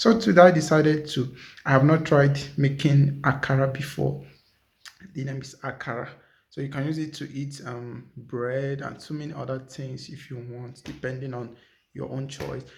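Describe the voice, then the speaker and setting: Somewhat breathy, a man speaks at a fairly high pitch for a man with fairly even intonation. His pace is moderate, and audible room echo surrounds him. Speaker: vlogger. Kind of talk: casual cooking vlog.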